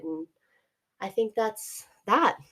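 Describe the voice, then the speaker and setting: A woman with a Canadian accent speaks with ordinary pitch variation. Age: 30s. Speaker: podcast co-host. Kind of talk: casual chat. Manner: halting.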